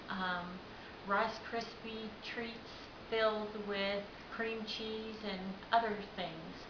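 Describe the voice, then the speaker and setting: Someone with an American accent speaks at a very slow pace amid noticeable background noise and audible room echo. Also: woman. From Oklahoma. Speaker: home cook, cooking contest entrant. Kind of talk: cooking tutorial. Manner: casual, chatty.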